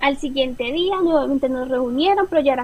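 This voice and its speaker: High-pitched woman at a moderate pace, ordinary pitch variation, noticeable background noise. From Colombia. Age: 20s. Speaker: former au pair. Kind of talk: interview.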